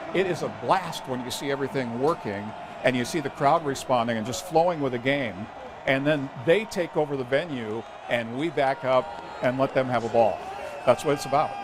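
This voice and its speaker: The pitch moves up and down in an ordinary way. Noticeable background noise sits behind the voice. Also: man, medium pitch for a man, moderate pace. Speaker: pastor and stadium public address announcer. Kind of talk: casual interview answer talking about his job.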